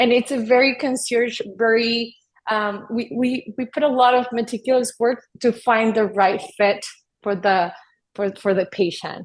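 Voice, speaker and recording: Speaking with a Spanish accent, a woman uses a fairly high pitch and fairly even intonation. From US-Mexico border, Texas. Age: 30s. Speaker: addiction psychiatrist. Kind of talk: podcast interview.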